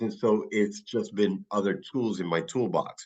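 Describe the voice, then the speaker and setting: Someone with a New York accent talks at a fairly slow pace with ordinary pitch variation against a quiet background. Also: man. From New York City, the Bronx. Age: 60s. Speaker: physician running wellness clinics. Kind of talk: podcast interview.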